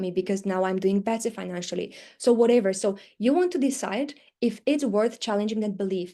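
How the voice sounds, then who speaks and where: A woman with a non-native accent speaks at a fairly high pitch against a quiet background. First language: not English. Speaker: teaching business coach. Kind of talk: live webinar training. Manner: fast when excited.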